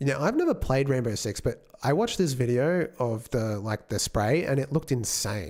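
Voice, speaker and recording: Barely pausing, a man with an Australian accent talks at a moderate pace and medium pitch with ordinary pitch variation. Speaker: game developer streamer. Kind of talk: live stream chat. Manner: casual, hesitant with fillers.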